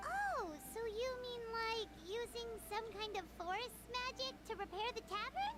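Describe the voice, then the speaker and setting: A put-on character voice at an extremely high pitch, moderate pace, with music in the background. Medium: video game. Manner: casual, direct.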